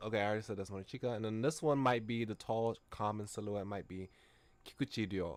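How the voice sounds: Someone reads in a natural voice with fairly even intonation.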